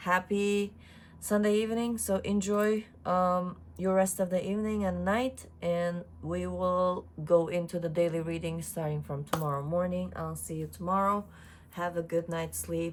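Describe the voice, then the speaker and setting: Moderate pace and fairly even intonation. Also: woman, fairly low pitch for a woman. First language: not English (English is third language). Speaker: tarot reader. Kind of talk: tarot reading video. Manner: casual, hesitant with fillers.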